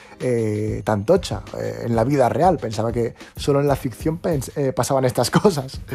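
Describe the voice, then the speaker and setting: Here a man speaks at a medium pitch and a moderate pace, with ordinary pitch variation. His tone is dark and mellow. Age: 20s. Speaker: podcast host. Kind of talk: casual chat. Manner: animated.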